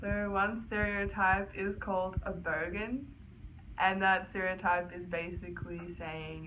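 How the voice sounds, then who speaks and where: A woman's voice with fairly even intonation and audible room echo. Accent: Australian. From Australia. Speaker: college tennis player. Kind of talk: interview. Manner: casual.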